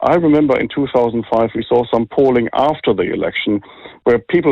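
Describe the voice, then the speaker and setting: Speaking in a German accent, a man keeps a fairly quick pace. His pitch is medium. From Germany. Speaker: think tank director. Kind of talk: interview.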